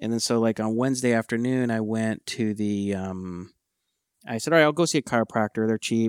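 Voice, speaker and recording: Recorded dry and close with no echo against a silent background in a very clean recording, a man with a normal speaking voice talks at a fairly quick pace, with medium pitch and ordinary pitch variation. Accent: American. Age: 50s. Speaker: podcast co-host, tech entrepreneur. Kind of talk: casual chat.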